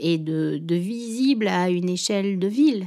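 Her voice medium in pitch, a woman speaks with lively intonation. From Réunion. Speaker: shop owner. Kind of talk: interview. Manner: halting.

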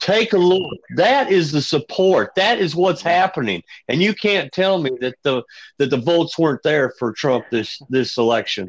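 Over a quiet background, a man with an American accent talks at a moderate pace in a high pitch marked by very wide pitch swings. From northern US. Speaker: podcast co-host, military veteran, former truck driver. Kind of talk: casual chat.

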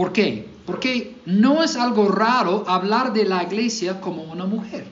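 Here a man speaks with an American accent at a high pitch. His intonation is lively, and room echo is audible. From US South, Mississippi. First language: English (speaking Spanish). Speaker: pastor. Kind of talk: sermon. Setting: church.

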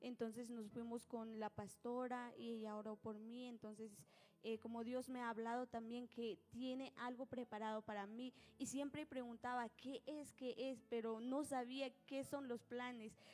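The speaker delivers each line in a monotone, flat intonation at a fairly slow pace. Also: woman, high pitch for a woman. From Guatemala, Nahualá (Sololá). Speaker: church minister and singer. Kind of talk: testimony. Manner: hesitant.

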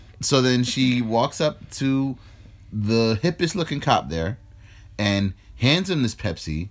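The speaker has a New York accent and talks at a very slow pace with very wide pitch swings. The recording is very clean, with a silent background. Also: man, medium pitch for a man. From New York, the Bronx. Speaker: podcast co-host. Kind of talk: casual chat.

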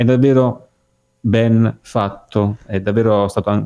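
A man speaks with a dark, mellow tone. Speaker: podcast co-host. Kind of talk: casual chat. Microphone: poor connection.

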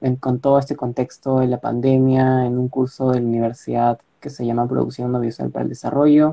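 A man is speaking. His pitch is medium. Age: 20s. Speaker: university student. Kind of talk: casual interview.

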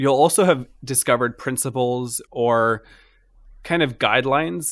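A plain, everyday voice with an American accent. It moves at a fairly slow pace with ordinary pitch variation. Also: man. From Florida, US. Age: 30s. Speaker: stand-up comedian and former startup founder. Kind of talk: casual interview chat.

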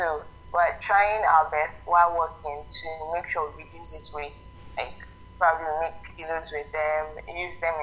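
Over noticeable background noise, a woman speaks fairly slowly, her loudness swinging widely. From Nigeria. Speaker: novelist and business owner. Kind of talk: interview.

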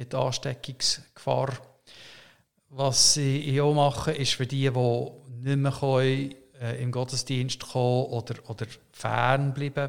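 Speaking very slowly with long, frequent pauses, a man holds a medium pitch in a monotone, flat intonation. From Canada. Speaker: pastor. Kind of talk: interview conversation. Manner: halting, many hesitations.

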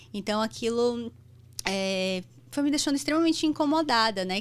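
Lively intonation runs through this woman's speech. Her voice is fairly high and her pace moderate. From Brazil, Bahia (Salvador). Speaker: anesthesiologist and medical educator. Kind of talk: interview conversation. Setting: studio.

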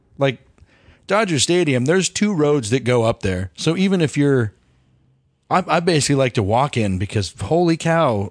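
A man with a fairly high voice swings his pitch very widely, speaking at a moderate pace with very even loudness in a dry, close recording with no echo and a quiet background. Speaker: podcast co-host. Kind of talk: casual chat.

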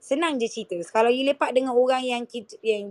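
A woman with a high voice talks at a fairly quick pace. The sound is dry and close, with no echo. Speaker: podcast co-host. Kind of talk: casual chat. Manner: halting.

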